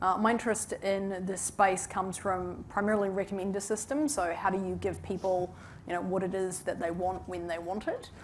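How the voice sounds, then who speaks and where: A woman with a strong New Zealand accent, medium pitch and fairly even intonation at a fairly quick pace, over noticeable background noise. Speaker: tech executive. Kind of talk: panel discussion.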